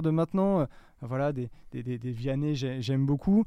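A man talks at a moderate pace with ordinary pitch variation and a dark, mellow tone. The recording is very clean, with a silent background. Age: 30s. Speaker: digital marketing manager. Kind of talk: interview. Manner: halting.

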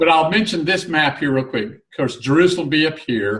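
A man with a fairly high pitch and lively intonation talks in an ordinary speaking voice. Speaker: Bible teacher co-host. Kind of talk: casual online Bible discussion.

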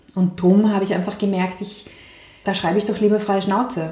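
A woman talks at a medium pitch in a monotone, flat intonation. Audible room echo colors the recording. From Austria, Vienna. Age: 30s. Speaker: environmental activist and author. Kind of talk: interview.

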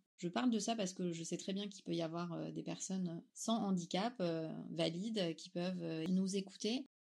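Here is a plain, everyday voice: a woman at fairly low pitch with ordinary pitch variation. She talks at a moderate pace with hardly any pauses. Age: 30s. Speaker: young mother sharing testimony. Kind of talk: testimony.

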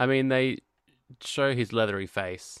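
A man at a fairly slow pace with an unremarkable speaking voice. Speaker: podcast co-host. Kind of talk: casual chat.

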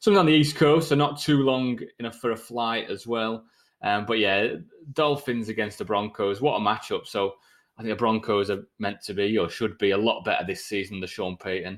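Speaking at a fairly quick pace with a British accent, a man of medium pitch uses ordinary pitch variation on a very clean recording with a silent background. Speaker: podcast host. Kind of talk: casual chat.

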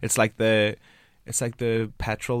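A man with a Northern Irish accent on a very clean recording with a silent background. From Northern Ireland. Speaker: podcast host. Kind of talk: casual interview. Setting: studio.

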